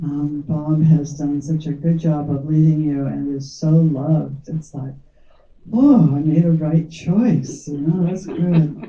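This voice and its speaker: Speaking at a very slow pace, a woman uses a very deep, low pitch and fairly even intonation. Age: old. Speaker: founding meditation teacher. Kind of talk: heartfelt speech at community gathering.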